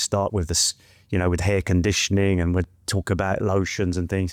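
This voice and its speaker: In an English accent, a man with a very deep, low pitch speaks at a fairly quick pace with monotone, flat intonation, in a very clean recording with a silent background and a dry, close sound with no echo. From West London, England. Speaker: trichologist and hair product maker. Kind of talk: casual interview chat. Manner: soft-spoken.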